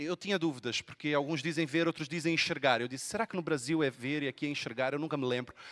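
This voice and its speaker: A man talks at a very fast pace, his pitch fairly high. The sound is dry and close with no echo, and his pitch varies in an ordinary way. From Brazil, Rio de Janeiro. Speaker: pastor. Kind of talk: sermon. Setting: church.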